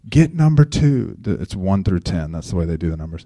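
A dark, mellow tone with very wide pitch swings. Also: man. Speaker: youth basketball coach. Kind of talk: casual talk with faith reflection. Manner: soft-spoken.

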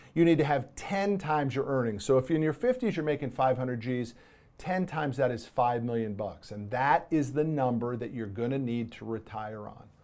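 A man speaks at a fairly high pitch and a moderate pace in an animated tone with lively intonation and big swings in loudness. The recording is very clean with a silent background. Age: 50s. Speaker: podcast host and author. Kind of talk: solo podcast monologue. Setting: studio.

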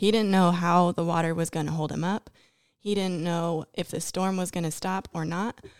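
This is an ordinary speaking voice from a woman with a fairly low pitch, a moderate pace and fairly even intonation. The sound is dry and close with no echo, on a very clean recording with a silent background. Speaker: Bible school student. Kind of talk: podcast discussion.

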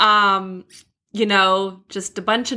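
In a very clean recording with a silent background, a woman speaks at a medium pitch in a bright, sharp tone with monotone, flat intonation. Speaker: podcast host. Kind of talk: casual chat.

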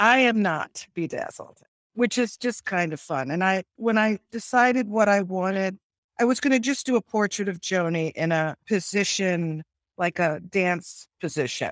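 A woman with a plain, everyday voice speaks at a moderate pace and medium pitch with lively intonation, in a very clean recording with a silent background and a dry, close sound with no echo. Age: 60s. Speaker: artist. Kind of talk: casual interview.

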